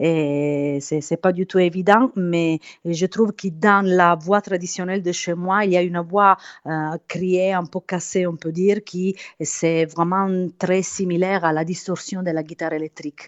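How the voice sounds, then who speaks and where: Fairly slow, fairly even speech in an Italian accent. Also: woman, fairly low pitch for a woman. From southern Italy, Apulia. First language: Italian (speaking French). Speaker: singer. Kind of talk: interview. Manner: halting.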